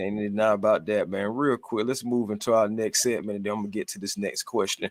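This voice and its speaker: At a very fast pace, a man with a fairly low pitch speaks in a very clean recording with a silent background and a dry, close sound with no echo. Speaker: sports podcast host. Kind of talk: casual live-stream sports chat. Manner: animated.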